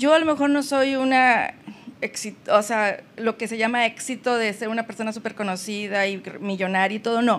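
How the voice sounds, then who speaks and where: This woman's voice sits at a fairly high pitch with ordinary pitch variation. She talks at a moderate pace. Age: 50s. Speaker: family counselor. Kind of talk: personal testimony in interview. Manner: halting, repeats words.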